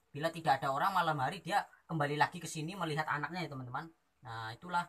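At a very fast pace, a man speaks in a bright, sharp tone with ordinary pitch variation. The background is quiet. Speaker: wildlife vlogger. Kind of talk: casual vlog chat. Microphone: phone near.

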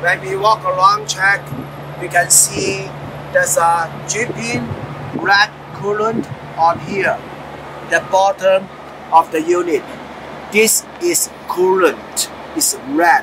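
A man uses a raised, projected voice at a very slow pace, with long, frequent pauses. His pitch varies in an ordinary way, and there is noticeable background noise. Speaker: truck driver trainer. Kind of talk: tutorial. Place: street.

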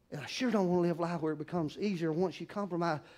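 A man with a Southern US accent, high-pitched, with ordinary pitch variation. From US South. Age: 60s. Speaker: pastor. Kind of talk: sermon. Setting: church. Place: church.

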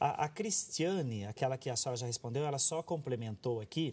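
A man's voice carries a somewhat breathy quality. He talks at a moderate speed, and his intonation is lively. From Brazil. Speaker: TV health show host. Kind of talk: reading viewer questions aloud; reading viewer questions on a talk show. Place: studio.

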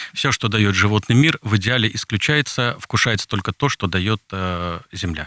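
This man has a fairly low pitch and a bright, sharp tone, speaking at a moderate pace with ordinary pitch variation in a dry recording with no echo. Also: quiet background. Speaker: Orthodox priest. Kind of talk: radio interview. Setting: studio. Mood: calm, explanatory. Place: studio. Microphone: studio mic.

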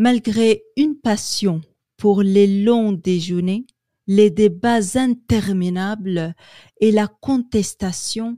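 A woman with a medium pitch and a dark, mellow, somewhat breathy tone speaks at a very slow pace with ordinary pitch variation. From Quebec, Canada. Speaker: French language student. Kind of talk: newspaper article reading.

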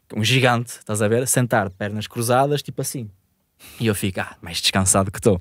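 A man with a northern Portuguese accent, dry sound with no echo, quiet background. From northern Portugal. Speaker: podcast host telling a story. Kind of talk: casual storytelling in podcast conversation. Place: studio. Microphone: studio mic.

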